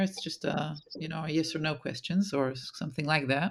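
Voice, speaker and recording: A woman with an Israeli accent speaks at a moderate pace in a fairly low pitch with fairly even intonation, recorded very cleanly against a silent background. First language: Hebrew. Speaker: podcast host. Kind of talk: interview.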